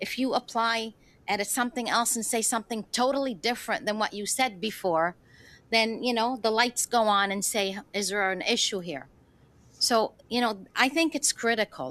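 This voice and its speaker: In a very clean recording with a silent background, a woman with an unremarkable speaking voice talks at a moderate pace and fairly high pitch, with ordinary pitch variation. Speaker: government minister. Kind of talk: committee hearing testimony.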